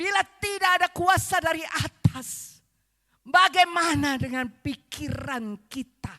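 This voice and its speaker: A woman's extremely high, bright, sharp voice, raised and projected, very slow, with lively intonation, big swings in loudness, and a dry, close sound with no echo. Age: 70s. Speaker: visiting preacher. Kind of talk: sermon. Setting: church service.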